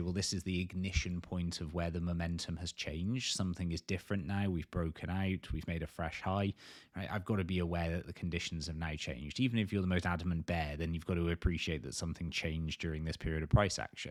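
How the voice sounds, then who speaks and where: A man with a very deep, low pitch and ordinary pitch variation, at a very fast pace with hardly any pauses, on a very clean recording with a silent background. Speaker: crypto trading analyst. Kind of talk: market analysis video.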